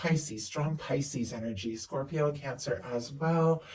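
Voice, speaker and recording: A man with a fairly high pitch and a dark, mellow tone sounds somewhat breathy, using ordinary pitch variation. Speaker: tarot reader. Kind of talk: tarot reading. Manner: fast; animated.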